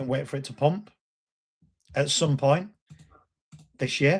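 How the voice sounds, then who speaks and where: A somewhat breathy voice in a Lancashire accent with ordinary pitch variation. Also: man. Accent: Bolton. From northern England, Bolton. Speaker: crypto YouTuber. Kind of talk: live stream talk. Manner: animated.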